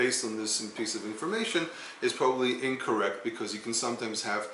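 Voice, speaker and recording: A man speaks at a very fast pace with a medium pitch. Noticeable background noise runs underneath. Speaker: Hebrew teacher. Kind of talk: educational talk to camera.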